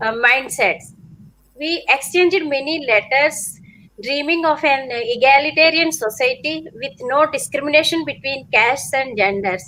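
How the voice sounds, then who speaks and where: Speaking in a Telugu accent, a woman uses a raised, projected voice with a high pitch and a bright, sharp tone. Her intonation is lively, though her pace is fairly slow. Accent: Telugu-accented Indian English. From India, coastal Andhra Pradesh. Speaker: author, wife of imprisoned professor. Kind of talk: panel discussion. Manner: halting, hesitant English.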